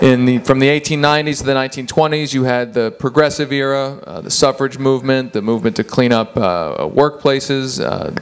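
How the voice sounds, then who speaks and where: A man with a medium pitch and ordinary pitch variation talks while noticeable background noise plays. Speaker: author and political journalist. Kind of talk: lecture with slides. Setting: office presentation with audience. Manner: fast.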